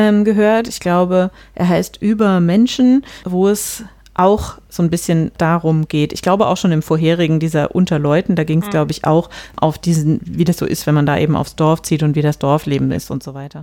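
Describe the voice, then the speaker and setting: Her voice is fairly low and dark, with a mellow tone, ordinary pitch variation, and a moderate pace as this woman speaks. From rural Germany. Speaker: podcast host. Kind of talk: casual discussion.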